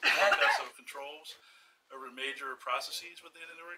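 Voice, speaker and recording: A man's voice with noticeable background noise. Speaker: external auditor. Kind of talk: formal audit presentation.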